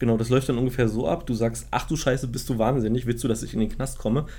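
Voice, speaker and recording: A man talks at a very fast pace. His pitch is medium, and his tone is dark and mellow. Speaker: podcast co-host. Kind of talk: casual chat. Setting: home studio with microphones. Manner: halting, repeats words.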